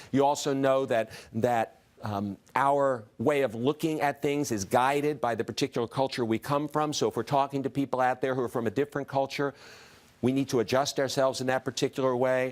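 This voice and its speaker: A man speaks at a medium pitch with fairly even intonation, recorded dry and close with no echo. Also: fairly quick pace. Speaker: diversity consultant and speaker. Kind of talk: talk to an audience. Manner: fast.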